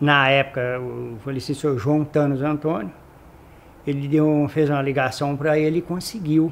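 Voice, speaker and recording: This man's pitch is fairly high, and his intonation stays fairly even. He talks at a moderate pace. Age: 60s. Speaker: retired company employee. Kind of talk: oral history interview. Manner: halting.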